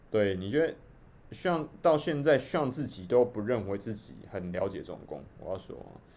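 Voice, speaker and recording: A man at medium pitch, with very wide pitch swings, big swings in loudness and a moderate pace. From Taiwan. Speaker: livestream host. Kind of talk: livestream commentary. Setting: live stream.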